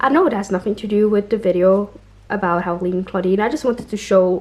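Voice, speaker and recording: A woman's voice at medium pitch moves at a fairly quick pace with fairly even intonation. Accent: non-native. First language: not English. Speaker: doll collector and reviewer. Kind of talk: casual unboxing review.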